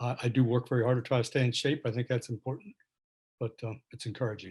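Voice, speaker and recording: Very fast and somewhat breathy, this man speaks at a medium pitch with fairly even intonation. The sound is dry and close, with no echo. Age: 70s. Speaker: patient. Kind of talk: audience question in virtual town hall. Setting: video call.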